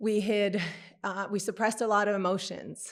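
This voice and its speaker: In a very clean recording with a silent background, a female speaker keeps a moderate pace. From Quebec City, Canada. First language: French. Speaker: podcast guest, grief speaker. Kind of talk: casual interview, personal testimony.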